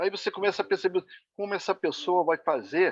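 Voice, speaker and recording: Pitch variation is ordinary for this man. He keeps a moderate pace. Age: 60s. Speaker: retired sales representative, club member asking a question. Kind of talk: question in an online meeting. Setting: video call.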